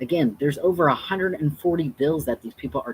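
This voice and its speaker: An animated man is heard in a dry, close sound with no echo. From Texas. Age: 30s. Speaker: drag performer and activist. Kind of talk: livestream commentary. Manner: emotional, animated.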